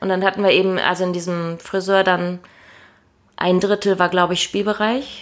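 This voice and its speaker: The intonation stays monotone and flat at a moderate pace, broken by long, frequent pauses. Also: woman, medium pitch for a woman. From Hannover region, Lower Saxony. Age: 30s. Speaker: deacon. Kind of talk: interview. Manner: hesitant, many fillers.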